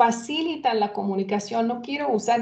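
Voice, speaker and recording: A woman with a Hungarian accent speaks at a fairly slow pace and fairly high pitch, with ordinary pitch variation. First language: Hungarian (speaking Spanish). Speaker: former interpreter, event co-presenter. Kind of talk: webinar introduction. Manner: halting, many fillers.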